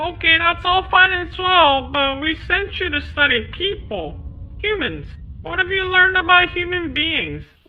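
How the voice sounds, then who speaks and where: Cartoonish character voice, extremely high in pitch, delivered at a moderate pace. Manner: excitable, stammering.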